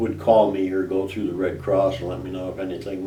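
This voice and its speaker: Noticeable background noise accompanies very fast speech with an American accent. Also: man. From Chicago, US Midwest. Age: 70s. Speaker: war veteran. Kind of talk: oral history interview. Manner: halting, with repetitions and fillers.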